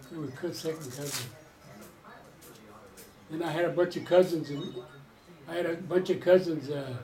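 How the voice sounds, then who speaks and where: A man speaks at a fairly high pitch and a moderate pace, with fairly even intonation and long, frequent pauses. His loudness swings widely, and background noise is noticeable. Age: 80s+. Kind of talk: interview answer.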